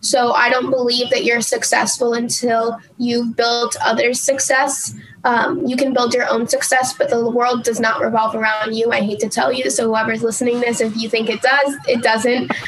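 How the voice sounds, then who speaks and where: A woman with an American accent at a high pitch and moderate pace, monotone and flat, with hardly any pauses, very even loudness, and noticeable background noise. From New Jersey. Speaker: business development executive. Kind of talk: casual chat. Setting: studio.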